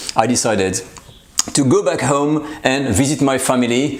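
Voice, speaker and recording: A man with a French accent talks over noticeable background noise in a space with audible room echo. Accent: French accent, slightly anglicized. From France. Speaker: cooking channel host. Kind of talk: casual vlog channel update. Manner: halting, many fillers.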